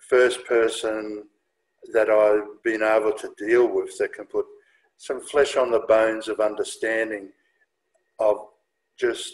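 A man speaks slowly at a fairly low pitch. There is little pitch movement.

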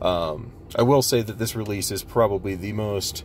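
With music in the background, the voice shows ordinary pitch variation in a dry sound with no echo. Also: man. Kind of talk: tutorial walkthrough. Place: car. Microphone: phone near.

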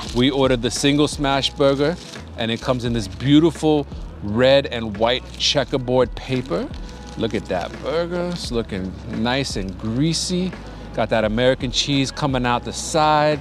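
A man speaks at a moderate pace with ordinary pitch variation, in a dry sound with no echo and faint music in the background. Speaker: food vlogger. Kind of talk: casual vlog chat. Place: street. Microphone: lapel.

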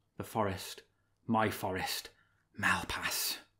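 A put-on character voice, whispering. The pace is slow.

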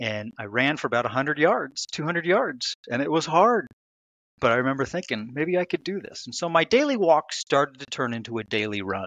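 A man with an American accent and a fairly high voice, very wide pitch swings and a moderate pace, in dry sound with no echo and a quiet background. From United States. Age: 50s. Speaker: author; podcast guest. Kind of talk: interview. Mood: reflective, earnest. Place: home room. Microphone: headset.

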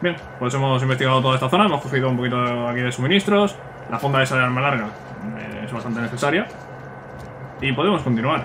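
Amid noticeable background noise and audible room echo, a man at medium pitch talks very fast, with ordinary pitch variation and long, frequent pauses. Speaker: gaming youtuber. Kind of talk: let's play commentary. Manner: casual, chatty.

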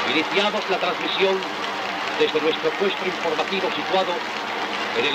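The voice moves at a moderate pace. Loud background noise runs underneath. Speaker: radio reporter. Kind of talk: live outside broadcast commentary. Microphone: old recording.

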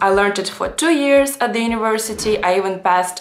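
Faint music plays in the background. A woman talks in a fairly high pitch. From Russia. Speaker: language vlogger. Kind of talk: casual talk to camera. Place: home room.

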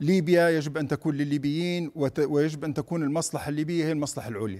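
Fairly high in pitch yet dark and mellow in tone, a man's voice moves at a fairly quick pace. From Libya, raised in Tripoli; Libya. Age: 50s. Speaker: politician and presidential candidate; politician, candidate. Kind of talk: TV news interview; interview answer. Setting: studio. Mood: earnest, firm. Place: studio. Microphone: lapel.

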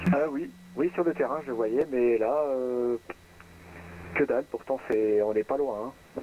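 A man talks at a very slow pace and medium pitch. The sound is dry with no echo, under light background noise. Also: ordinary pitch variation. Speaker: private pilot flying in a flight simulator. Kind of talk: aviation radio phraseology. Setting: online voice chat. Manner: formal. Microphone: headset.

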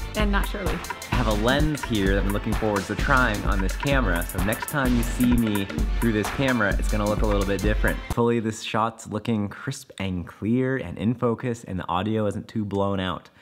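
Clear music runs behind the voice. The man's delivery is fairly quick. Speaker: mountain bike vlogger. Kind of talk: casual vlog chat. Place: home room. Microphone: phone near.

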